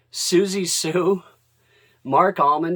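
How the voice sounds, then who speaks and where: A man is captured in a very clean recording against a silent background. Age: 60s. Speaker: record collector vlogger. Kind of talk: casual video tag. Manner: casual, hesitant with fillers.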